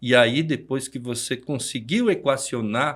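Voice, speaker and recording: With a very clean recording and a silent background, a man with an unremarkable speaking voice talks fairly slowly at a medium pitch. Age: 60s. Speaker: business owner and speaker. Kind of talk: podcast interview.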